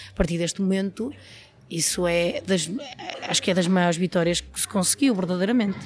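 A woman speaks at a fairly quick pace with a medium pitch and ordinary pitch variation. Long, frequent pauses break up her speech, and there is noticeable background noise. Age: 30s. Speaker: trade unionist in footwear industry. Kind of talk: interview.

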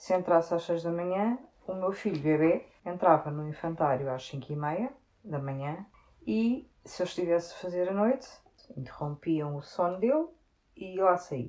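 Her tone is dark and mellow. The woman speaks at a moderate pace with lively intonation. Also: fairly low pitch for a woman. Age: 40s. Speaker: sales technician. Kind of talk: interview.

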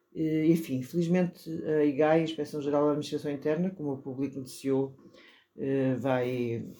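Here a woman with a very deep, low pitch and a dark, mellow tone speaks at a moderate pace with fairly even intonation. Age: middle-aged. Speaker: journalist and political commentator. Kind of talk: political panel discussion.

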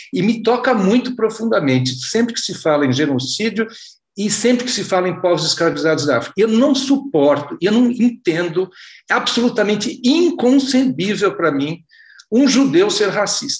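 Pitched high, a man's voice makes very wide pitch swings. He speaks at a moderate pace. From Brazil. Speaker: reader asking questions. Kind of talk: audience question. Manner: halting.

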